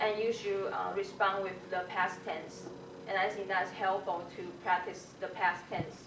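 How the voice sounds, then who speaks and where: Through audible room echo and noticeable background noise, a woman speaks at a fairly slow pace in a monotone, flat intonation. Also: medium pitch for a woman. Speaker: English language student. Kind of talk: self-assessment presentation. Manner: halting, many fillers.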